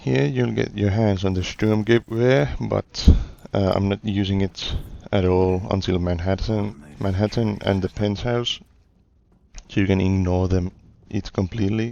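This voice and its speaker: At a fairly slow pace, the voice has a dark, mellow tone and ordinary pitch variation. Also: man, fairly low pitch for a man. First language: not English. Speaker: gaming YouTuber. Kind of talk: gameplay commentary. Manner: halting, with fillers and restarts.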